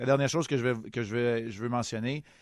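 A man speaks at medium pitch with fairly even intonation and an unremarkable speaking voice. The sound is dry and close with no echo, over a quiet background. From Quebec, Montreal. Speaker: hockey analyst, committee chair. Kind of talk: radio interview.

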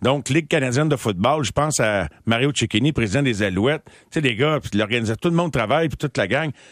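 A man's medium-pitched, an unremarkable speaking voice with lively intonation at a fairly quick pace, dry and close with no echo over a quiet background. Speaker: sports radio host. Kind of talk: casual chat. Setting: studio.

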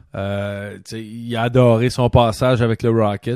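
A man talks in a Quebec accent. The recording is very clean with a silent background, and the sound is dry and close with no echo. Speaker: podcast host and former hockey player. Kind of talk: casual chat. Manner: animated.

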